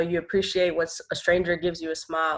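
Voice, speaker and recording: Speaking at a fairly quick pace with an American accent, a woman uses a fairly low pitch in a very clean recording with a silent background. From New York, the Bronx. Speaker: nonprofit co-founder. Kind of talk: interview. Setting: podcast.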